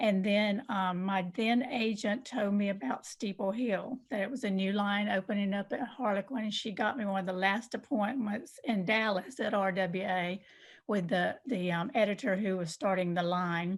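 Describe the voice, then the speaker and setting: A woman with a Southern US accent speaks at a moderate pace and medium pitch, somewhat breathy, with ordinary pitch variation and hardly any pauses, in a very clean recording against a silent background. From US South, southwest Georgia. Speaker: novelist. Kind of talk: interview.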